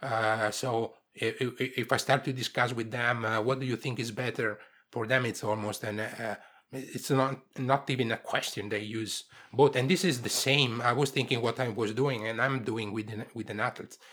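A man speaks at a moderate pace in a medium pitch with fairly even intonation. The recording is very clean, with a silent background. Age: 50s. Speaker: sports science researcher. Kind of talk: interview. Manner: halting, with frequent repetitions.

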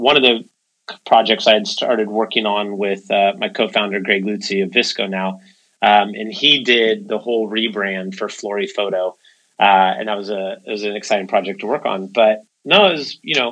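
At a moderate pace, a man talks at a medium pitch. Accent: Californian. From San Francisco Bay Area, California. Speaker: tech company co-founder and CEO. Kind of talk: interview conversation.

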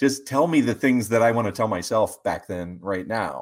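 A man speaks with an American accent at a medium pitch, with ordinary pitch variation and an unremarkable speaking voice. The recording is very clean, with a silent background. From West Virginia. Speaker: financial advisor. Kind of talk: interview.

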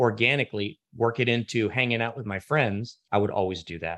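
A man with an ordinary speaking voice, medium pitch and an American accent, at a moderate pace, in a dry, close sound with no echo and a quiet background. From Washington, D.C. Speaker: magician and actor. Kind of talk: interview.

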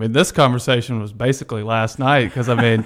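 Fairly quick and with fairly even intonation, a man speaks at a medium pitch in an unremarkable speaking voice. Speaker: financial advisor. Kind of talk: radio interview discussion.

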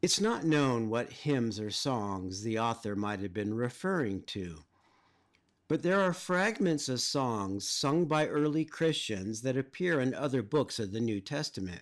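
On a very clean recording with a silent background, a man at medium pitch talks at a fairly slow pace with very wide pitch swings. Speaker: professor and pastor. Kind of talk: lecture-style narration about scripture and hymn history.

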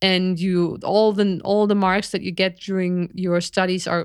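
Over a very clean recording with a silent background, a woman speaks at a medium pitch. Her pace is fairly slow and her intonation monotone and flat. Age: 40s. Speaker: podcast co-host, biologist. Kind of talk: casual chat. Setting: live stream.

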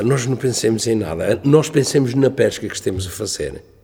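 A man's medium-pitched voice at a fairly quick pace, ordinary pitch variation, music playing behind. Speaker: retired cod fisherman. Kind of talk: oral history testimony. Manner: halting.

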